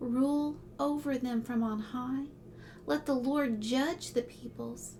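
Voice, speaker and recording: The speaker is soft-spoken and talks at a very slow pace while music plays in the background. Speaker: ASMR creator. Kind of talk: Bible reading.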